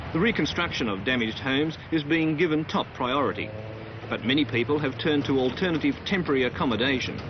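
A man talks at a very fast pace, the sound dry with no echo amid noticeable background noise. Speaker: news reporter. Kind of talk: news report narration.

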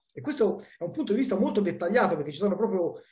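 Against a quiet background, a man speaks in a dark, mellow tone with very wide pitch swings. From Italy. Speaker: historian and book author. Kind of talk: academic book discussion. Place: office. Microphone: headset.

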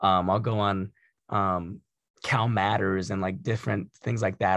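A man with an American accent and a plain, everyday voice, fairly low in pitch, at a moderate pace with fairly even intonation, in a dry sound with no echo and a quiet background. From Santa Clarita, Southern California; Southern California. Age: 20s. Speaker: community college trustee. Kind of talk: panel discussion. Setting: video call. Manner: repeats words when starting sentences. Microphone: video call.

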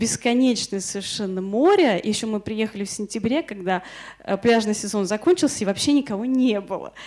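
Against a quiet background, a woman in an unremarkable speaking voice talks at a moderate pace, her fairly high pitch varying in an ordinary way. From Moscow, Russia. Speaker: illustrator and workshop lecturer. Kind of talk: lecture. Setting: workshop in front of an audience. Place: classroom. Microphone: handheld.

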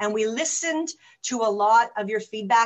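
Fairly high in pitch, a woman speaks with a Toronto accent. Her tone is enthusiastic. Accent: Canadian English, Toronto. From Canada. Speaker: webinar host. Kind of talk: webinar hosting. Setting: online webinar. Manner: fast talker.

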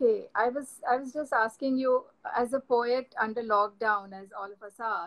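Speaking at a moderate pace, a woman with a high voice shows ordinary pitch variation and big swings in loudness. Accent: Indian. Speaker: poet and host. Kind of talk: live online poetry reading and conversation. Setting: video call, live stream.

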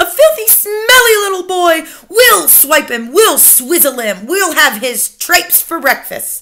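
Using a put-on character voice, a woman pitches it extremely high. Her words come fairly slowly. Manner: cried out; shrill, jeering, gleeful.

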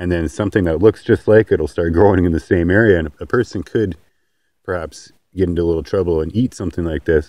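A man with a very deep, low pitch and a dark, mellow tone speaks at a very fast pace with ordinary pitch variation. The sound is dry with no echo, and the background is quiet. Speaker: homesteader. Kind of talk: casual outdoor instructional talk to camera. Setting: outdoors. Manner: halting, some stammering. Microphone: phone near.

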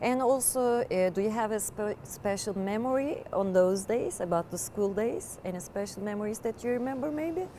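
Over light background noise, a woman with a Turkish accent and a fairly high pitch talks at a moderate pace with lively intonation and hardly any pauses. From Turkey. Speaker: interviewer. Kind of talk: interview. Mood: warm, sympathetic. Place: stadium.

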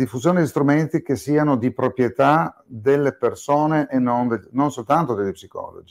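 An ordinary speaking voice from a man, fairly high in pitch with ordinary variation, at a moderate pace with hardly any pauses, dry and close with no echo on a very clean recording against a silent background. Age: 60s. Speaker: psychiatrist and psychotherapist. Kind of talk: interview podcast.

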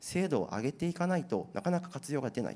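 Fairly quick in pace, a man speaks with a dark, mellow tone. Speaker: IT company presenter on generative AI trends. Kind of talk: seminar presentation and panel discussion. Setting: seminar hall with audience at an expo. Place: hall. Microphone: handheld.

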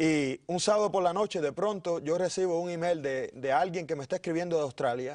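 Quick-paced and high-pitched, a man speaks with ordinary pitch variation against a quiet background. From Cuba, Pinar del Río. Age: 30s. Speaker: pastor. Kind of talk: interview. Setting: studio.

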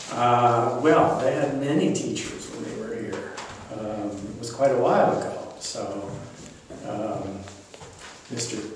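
A man with an American accent speaks at a very slow pace, with long, frequent pauses and ordinary pitch variation. Strong room echo and light background noise fill the recording. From US West Coast, Los Angeles. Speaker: retired economics professor. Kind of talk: oral history interview. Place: classroom. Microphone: camera far.

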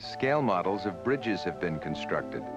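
Over clear background music, a man talks at a moderate pace in a dry sound with no echo. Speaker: documentary narrator. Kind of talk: documentary narration.

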